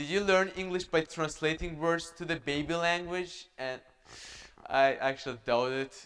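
A man with an Azerbaijani accent. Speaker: student speaker; speaker. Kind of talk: talk; prepared public talk. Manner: halting. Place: stage.

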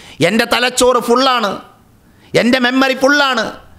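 A man projects a raised voice with a bright, sharp tone over a quiet background. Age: 30s. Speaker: Islamic religious teacher. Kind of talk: religious lecture. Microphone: studio mic.

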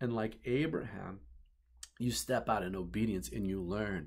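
A man speaks at a moderate pace with a warm tone and vocal fry. His intonation is lively, and the background is quiet. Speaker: pastor. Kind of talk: sermon. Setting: office, filmed video message. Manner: earnest, warm preacherly delivery building by repetition ("You're the one"). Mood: earnest, heartfelt. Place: office. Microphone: webcam.

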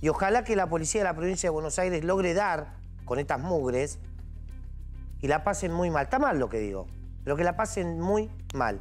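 A man speaks at a moderate pace with long, frequent pauses while faint music plays in the background. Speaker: TV news commentator. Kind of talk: indignant news commentary. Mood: angry, indignant. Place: studio.

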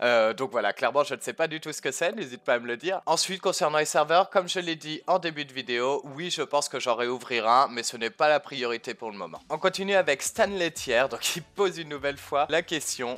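This man speaks at a fairly quick pace with hardly any pauses, using lively intonation, a bright, sharp tone, a fairly high pitch and big swings in loudness. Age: 20s. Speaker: gaming YouTuber; gaming youtuber. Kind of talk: casual Q&A to camera. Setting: facecam recording. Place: home room. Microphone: headset.

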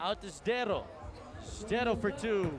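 Over noticeable background noise, a man with a high pitch talks in an energetic tone at a fairly slow pace. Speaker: basketball commentator. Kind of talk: live sports commentary. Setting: courtside at the tournament, broadcasting live. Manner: energetic, rattling off names and scores.

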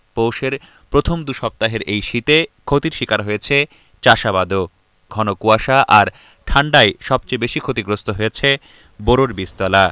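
Bright and sharp in tone, a man's voice sits at a medium pitch with ordinary pitch variation. The sound is dry and close with no echo, on a very clean recording with a silent background. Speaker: TV news reporter. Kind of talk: scripted news report narration. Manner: formal.

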